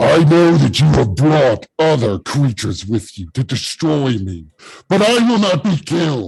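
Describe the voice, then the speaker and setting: A man performs a put-on character voice full of very wide pitch swings. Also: fairly high pitch for a man, moderate pace. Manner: yelling.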